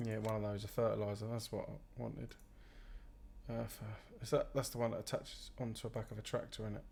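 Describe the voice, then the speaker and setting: A man with a British accent at a very fast pace, broken by long, frequent pauses. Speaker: gaming streamer. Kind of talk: live gameplay commentary. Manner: loud; casual, rambling.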